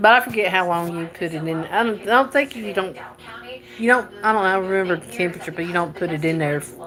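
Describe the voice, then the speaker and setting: A woman with a Southern US accent speaks at a very fast pace with lively intonation and a medium pitch. Noticeable background noise is present. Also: big swings in loudness. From North Carolina, US South. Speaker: livestreamer. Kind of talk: casual live-stream chat while cooking. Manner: halting.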